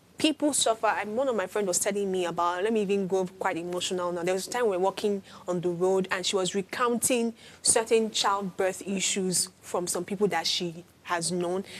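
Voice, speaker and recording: With a normal speaking voice, a woman at medium pitch moves at a fairly quick pace with ordinary pitch variation. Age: young. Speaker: talk show panelist. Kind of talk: panel discussion.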